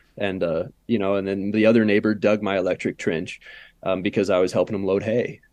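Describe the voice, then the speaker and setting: Over a quiet background, a man with an American accent speaks at a fairly low pitch. His pace is fairly quick and his intonation monotone and flat. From US suburbia. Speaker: organic farmer. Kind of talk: casual interview. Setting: remote video call.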